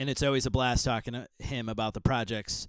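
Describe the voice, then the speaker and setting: A man talks in a very clean recording with a silent background. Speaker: podcast host. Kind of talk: podcast monologue intro. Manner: casual with fillers and stumbles.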